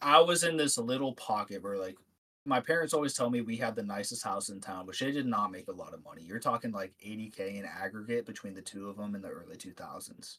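An American accent marks this man's bright, sharp tone, delivered at a medium pitch and a fairly quick pace with big swings in loudness. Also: ordinary pitch variation. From Ohio, US. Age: 20s. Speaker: podcast guest. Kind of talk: casual chat.

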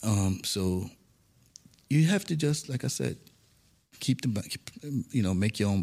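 An American accent, vocal fry and very wide pitch swings mark this man's voice. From New York City (Bronx). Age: 50s. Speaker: management consultant and former law enforcement officer. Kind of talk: interview. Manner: conversational.

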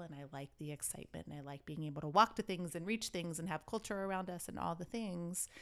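On a very clean recording with a silent background, a woman uses an unremarkable speaking voice, fairly low in pitch with ordinary pitch variation. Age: 40s. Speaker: podcast co-host. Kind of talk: casual chat.

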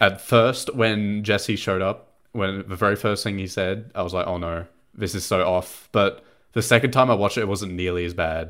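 Recorded very cleanly against a silent background, a man with an ordinary speaking voice talks at a fairly low pitch and moderate pace with fairly even intonation. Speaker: podcast host. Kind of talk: casual chat.

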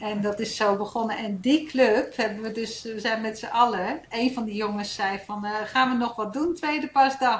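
A woman speaks at a fairly high pitch with hardly any pauses. Audible room echo surrounds her voice. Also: ordinary pitch variation, moderate pace. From Netherlands, Gouda and Hilversum. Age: 50s. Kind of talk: casual chat.

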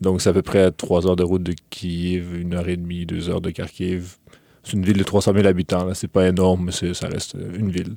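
A man speaks with a very deep, low pitch and a dark, mellow tone at a fairly quick pace. His intonation is monotone and flat, and the recording is very clean with a silent background. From Quebec, Lévis (from age 10; born in Ukraine). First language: Russian (speaking French). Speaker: university student. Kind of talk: interview. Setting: studio. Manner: hesitant, many fillers.

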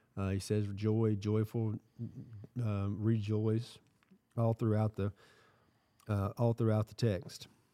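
A man with a Southern US accent speaks very slowly in a fairly low, dark, mellow voice, his intonation monotone and flat, with big swings in loudness, long, frequent pauses and a dry, close sound with no echo. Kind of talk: casual chat and Bible discussion. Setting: recording in a shop with small audience.

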